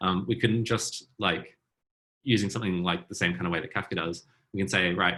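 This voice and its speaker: Talking at a fairly quick pace, a man with a very deep, low pitch has a bright, sharp tone and fairly even intonation. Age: 30s. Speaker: programmer giving a tech talk. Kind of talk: technical demo talk at online meetup. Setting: video call. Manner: fast; hesitant with many fillers.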